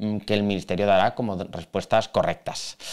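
Over a quiet background, a man with a fairly low voice speaks at a fairly quick pace. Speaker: exam prep teacher. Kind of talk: video commentary on exam. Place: office. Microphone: studio mic.

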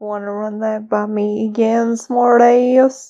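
A female-sounding put-on character voice speaks at a fairly slow pace, fairly high in pitch, with monotone, flat intonation. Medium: dub. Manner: annoyed, confrontational.

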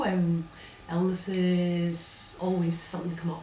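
Over light background noise, audible room echo surrounds a woman talking. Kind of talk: theatrical monologue. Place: stage. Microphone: camera far.

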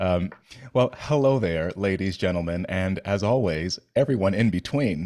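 A man speaks with a very deep, low pitch. The background is quiet. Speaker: podcast host. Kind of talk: podcast intro chat. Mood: playful, joking. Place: home room. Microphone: studio mic.

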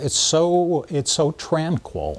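The man's pitch is fairly high and his intonation lively. Vocal fry colors his voice. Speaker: property owner interviewed about pipeline. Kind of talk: interview answer. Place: open country.

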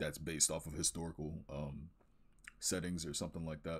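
A man's very deep, low pitch at a fairly quick pace, with fairly even intonation over a quiet background. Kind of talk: casual portfolio walkthrough commentary.

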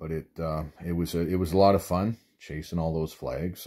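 Very deep, low male voice with vocal fry, a dark, mellow tone, ordinary pitch variation and moderate pace against a quiet background. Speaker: ice fishing vlogger. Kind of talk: casual vlog chat. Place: home room. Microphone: phone near.

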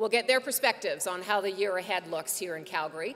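Light background noise runs through the clip. Over it, a woman talks. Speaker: event moderator. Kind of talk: event hosting announcements. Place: hall. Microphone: podium.

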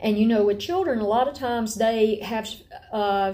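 Fairly quick and fairly high in pitch, a woman with an Appalachian accent speaks in a dark, mellow tone. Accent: Appalachian Southern US. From northwest Georgia, Appalachia. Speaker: homeschool teacher and mother. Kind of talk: lecture. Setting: at home, rain on tin roof. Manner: animated, chatty. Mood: calm, earnest. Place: home room. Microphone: webcam.

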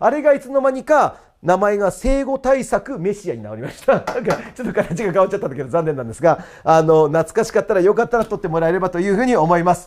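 A man's high-pitched, animated voice at a very fast pace, with very wide pitch swings and big swings in loudness. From Japan. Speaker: cram school history teacher; cram school teacher. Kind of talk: promotional talk about courses. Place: classroom. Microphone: lapel.

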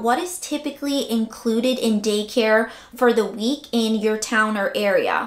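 Speaking at a fairly slow pace with fairly even intonation, a woman is heard with audible room echo over a quiet background. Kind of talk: tutorial. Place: home room.

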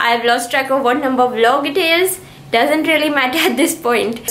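A woman's voice sits high, with ordinary pitch variation. The room echo is audible. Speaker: travel vlogger. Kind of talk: casual vlog chat. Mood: relaxed, cheerful, laughing. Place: home room. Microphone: phone near.

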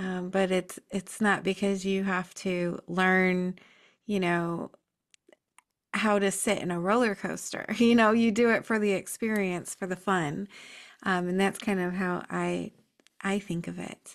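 A woman speaks at a fairly slow pace in a medium pitch with monotone, flat intonation. The background is quiet. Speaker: podcast host. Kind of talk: interview. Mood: warm, calm, curious. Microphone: webcam.

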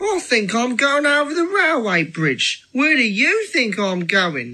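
A female-sounding voice puts on a character at a fairly high pitch, swinging very widely in pitch. The pace is fairly slow. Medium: audio drama. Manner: casual, breezy.

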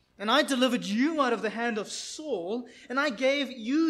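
Pitch varies in an ordinary way while the words come at a moderate pace. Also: man. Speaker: preacher. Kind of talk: sermon, reading scripture. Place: church.

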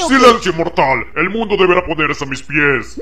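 Using a cartoonish character voice, a man speaks at a high pitch and a moderate pace. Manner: grandiose, then irritated shouting.

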